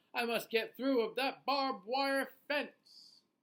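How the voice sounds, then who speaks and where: At a fairly slow pace, the speaker uses a high-pitched, put-on character voice. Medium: read story. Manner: theatrical, melodramatic.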